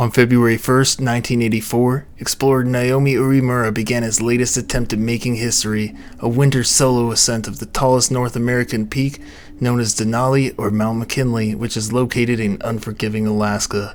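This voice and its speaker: Over noticeable background noise, a man talks at a fairly quick pace and a medium pitch. His intonation is monotone and flat. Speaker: mystery narrator. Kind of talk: scripted narration. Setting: home recording space at night. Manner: soft-spoken.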